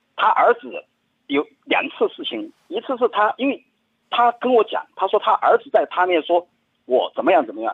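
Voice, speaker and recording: A man's voice, extremely high-pitched, rises and falls across very wide pitch swings while its loudness jumps in big swings. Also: moderate pace. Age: 40s. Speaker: caller. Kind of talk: phone-in confession. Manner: halting, many fillers.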